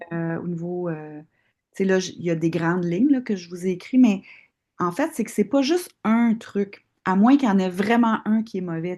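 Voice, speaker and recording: With a Quebec accent, a woman speaks at a medium pitch and moderate pace, her tone dark and mellow and her intonation lively. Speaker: osteopath and longevity course instructor. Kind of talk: live online class Q&A. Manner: hesitant, many fillers.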